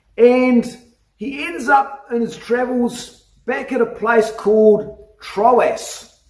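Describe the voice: With audible room echo, a man speaks slowly at an extremely high pitch, his pitch varying in an ordinary way.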